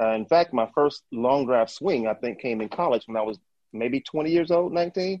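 A man with an American accent, medium in pitch, with lively intonation at a moderate pace. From US South, northern Mississippi. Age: 50s. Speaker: long drive golfer. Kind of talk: interview.

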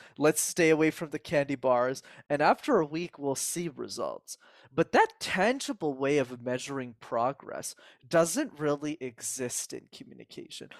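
With an animated tone and big swings in loudness, a man talks at a moderate pace in a fairly high pitch with ordinary pitch variation, the sound dry and close with no echo. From Canada, Montreal. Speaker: communication coach. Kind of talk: interview.

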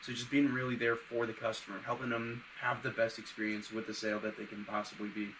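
Over noticeable background noise, a man speaks at a very fast pace with hardly any pauses, his medium-pitched voice monotone and flat. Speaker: podcast co-host. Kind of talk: casual interview.

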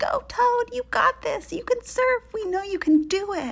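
A woman puts on a character voice at an extremely high pitch. She speaks fairly slowly with lively intonation.

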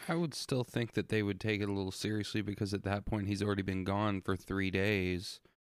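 A man with an ordinary speaking voice talks at a fairly quick pace and a fairly low pitch, with hardly any pauses. His intonation is fairly even, his loudness very even, and the recording very clean with a silent background. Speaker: podcast co-host. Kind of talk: casual chat and show intro.

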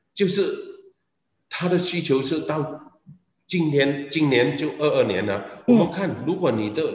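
A man at a fairly high pitch and fairly slow pace, with lively intonation and audible room echo. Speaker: business executive. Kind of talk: interview. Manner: halting.

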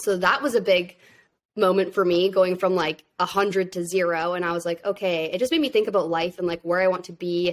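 Recorded very cleanly against a silent background, a woman speaks fairly quickly at medium pitch with fairly even intonation in an ordinary speaking voice. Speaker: social media manager and content creator. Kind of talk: interview.

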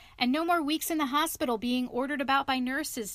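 A woman puts on a character voice, high in pitch. She talks at a very fast pace. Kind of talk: bedtime story reading. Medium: read story.

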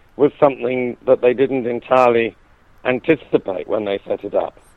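A man speaks with a British accent at a moderate pace. His pitch sits in the medium range. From UK. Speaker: author and university lecturer on the EU. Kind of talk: interview about his book. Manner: halting, with frequent repetitions.

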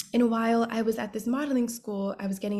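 Recorded very cleanly against a silent background, a woman talks in a somewhat breathy voice. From New York City, the Bronx. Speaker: fashion model. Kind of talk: casual interview chat.

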